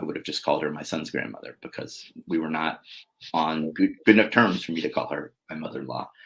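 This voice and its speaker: Vocal fry at a very fast pace. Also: man. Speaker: single father sharing his story. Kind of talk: interview. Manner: halting, many fillers and restarts.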